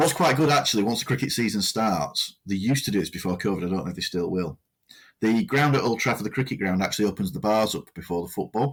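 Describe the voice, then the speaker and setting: Very fast speech in a Lancashire accent with lively intonation. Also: man, fairly low pitch for a man, very clean recording, silent background. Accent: northern English (Lancashire). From northern England, Lancashire. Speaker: podcast co-host, volunteer radio presenter. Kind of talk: casual chat.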